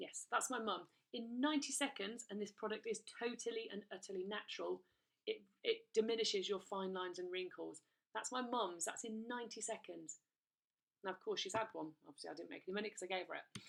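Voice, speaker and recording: A woman speaks with an English accent at a fairly quick pace. Her pitch is fairly high, with ordinary pitch variation. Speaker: direct sales recruiter. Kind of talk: sales pitch. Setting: recorded video presentation. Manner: fast; animated.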